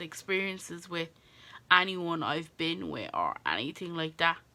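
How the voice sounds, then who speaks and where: A woman speaks with an Irish accent at a fairly slow pace. Her tone is bright and sharp. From Ireland. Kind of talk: casual talk to camera.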